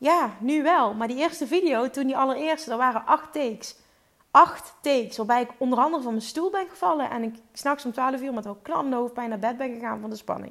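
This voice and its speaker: Fairly quick speech from a woman with a high pitch. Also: ordinary pitch variation. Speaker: podcast host and business coach. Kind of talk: solo podcast monologue. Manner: fluent, easy speaking.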